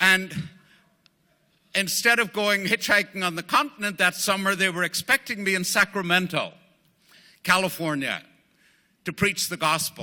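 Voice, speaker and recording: A man with a Northern Irish accent speaks in a raised, projected voice, high-pitched with a bright, sharp tone and ordinary pitch variation. He leaves long, frequent pauses in a very clean recording with a silent background. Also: moderate pace. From Northern Ireland. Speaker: AA speaker, former priest. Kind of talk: recovery testimony talk. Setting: speaking at a group meeting. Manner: halting, many fillers.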